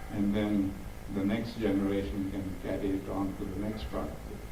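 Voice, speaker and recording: A man speaks at a moderate pace with a fairly low pitch. Noticeable background noise runs behind him. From South Africa. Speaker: activist and diversity speaker. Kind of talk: Q&A answer to audience.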